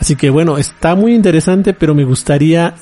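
Over music in the background, a man talks with lively intonation in a dry, close sound with no echo. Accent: Mexican. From Mexico. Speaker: podcast host, anime news site director. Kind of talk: casual solo podcast talk. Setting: recording alone at home.

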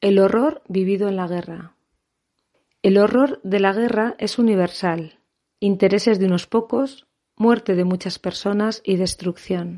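Speaking at a fairly slow pace, a woman uses a medium pitch, a dark, mellow tone and ordinary pitch variation. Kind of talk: scripted intro then poetry introductions.

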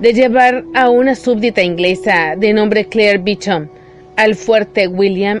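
This is plain reading aloud. The pitch moves with ordinary variation.

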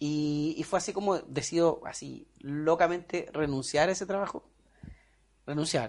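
A man speaks with a Chilean accent. His pitch is fairly high. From Chile, Puerto Montt. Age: 30s. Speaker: business manager. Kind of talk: personal life story interview.

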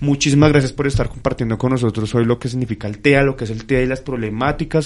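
Male speech, medium in pitch, intonation fairly even. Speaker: radio host. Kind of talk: casual radio talk. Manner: halting, many fillers.

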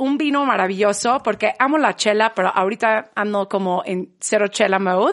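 This is a normal speaking voice, a woman's at a fairly high pitch with ordinary pitch variation. She keeps a moderate pace against a quiet background. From England, Manchester. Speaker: podcast guest. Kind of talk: casual chat.

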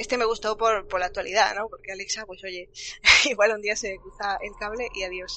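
A woman with a fairly high pitch speaks at a fairly quick pace in a monotone, flat way, her loudness swinging widely over noticeable background noise. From Andalusia. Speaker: livestream host. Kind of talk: casual chat. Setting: livestream.

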